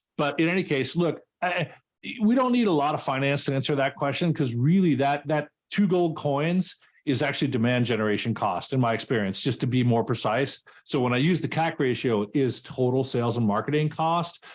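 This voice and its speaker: A fairly quick American accent with very even loudness and ordinary pitch variation. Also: man, fairly high pitch for a man. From New York, Westchester. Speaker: sales and SaaS expert, workshop speaker. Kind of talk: live workshop Q&A. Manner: fast.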